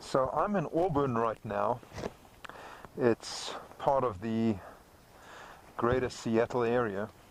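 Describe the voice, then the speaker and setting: Noticeable background noise fills the recording. A man speaks at a medium pitch and a very slow pace. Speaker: motorcycle vlogger. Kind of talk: casual vlog monologue. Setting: riding a motorcycle. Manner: loud, raised over wind.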